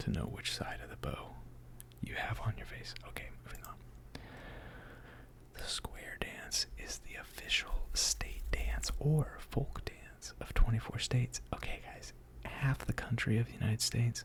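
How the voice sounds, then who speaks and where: The words come out as a whisper at a fairly slow pace. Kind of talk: ASMR casual hangout talk. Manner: whispered, soft-spoken.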